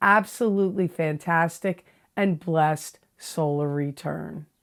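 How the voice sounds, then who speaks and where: This woman has a very deep, low pitch, captured in a very clean recording with a silent background. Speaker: tarot reader. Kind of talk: tarot reading. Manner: casual, conversational.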